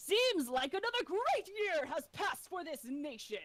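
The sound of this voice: A woman's put-on character voice at an extremely high pitch and moderate pace.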